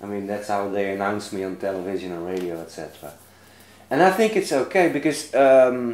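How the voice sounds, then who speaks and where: Lively intonation at a fairly quick pace with a Dutch accent, plus audible room echo. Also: man, fairly low pitch for a man. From Netherlands. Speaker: author and lecturer. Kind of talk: interview. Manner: halting.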